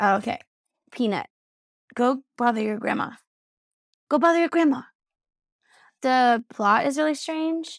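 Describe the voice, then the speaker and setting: A high-pitched woman's voice at a moderate pace, with lively intonation and long, frequent pauses. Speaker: podcast host. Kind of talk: casual chat. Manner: casual, chatty.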